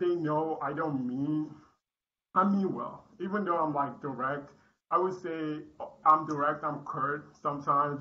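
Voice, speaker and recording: With audible room echo, a man speaks at a fairly slow pace in a bright, sharp, fairly high-pitched voice with fairly even intonation. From Nigeria. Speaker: Toastmasters club member. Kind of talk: prepared speech.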